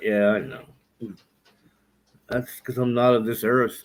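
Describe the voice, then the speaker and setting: A man speaks at a medium pitch. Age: 60s. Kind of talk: casual chat.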